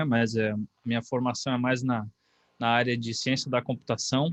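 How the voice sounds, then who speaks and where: With a Brazilian accent, a man talks at a moderate pace and medium pitch against a quiet background. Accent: non-carioca Brazilian Portuguese. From Brazil, not Rio de Janeiro. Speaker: university course coordinator, professor. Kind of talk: online information session talk. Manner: hesitant, with fillers.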